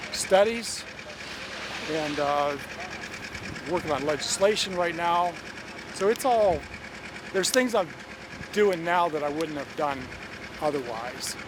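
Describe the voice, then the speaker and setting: A high-pitched man with an American accent and lively intonation, long, frequent pauses, and noticeable background noise. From Pennsylvania, US. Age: 60s. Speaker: beekeeper. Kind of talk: interview. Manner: halting, with repeated words.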